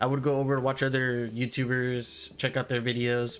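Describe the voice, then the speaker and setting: Music plays in the background as a man speaks at a moderate pace in a medium pitch. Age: 20s. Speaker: gaming YouTuber. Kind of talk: casual talk over gameplay. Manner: hesitant, filler-heavy.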